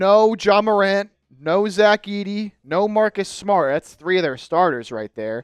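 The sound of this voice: A man speaks at a high pitch with ordinary pitch variation and a clear, smooth tone. The sound is dry and close, with no echo. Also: fairly slow pace.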